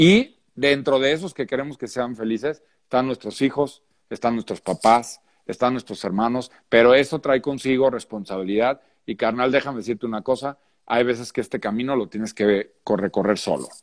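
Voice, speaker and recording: Against a quiet background, a man talks at a moderate pace and medium pitch in an unremarkable speaking voice. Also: ordinary pitch variation. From northern Mexico. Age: 40s. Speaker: podcast host. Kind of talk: casual interview chat. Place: home room. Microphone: earbuds.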